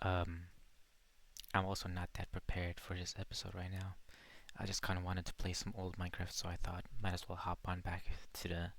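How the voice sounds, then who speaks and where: Soft-spoken speech with long, frequent pauses on a very clean recording with a silent background. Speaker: gaming podcaster. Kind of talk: casual chat with gameplay. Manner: soft-spoken, quiet; relaxed, laid-back.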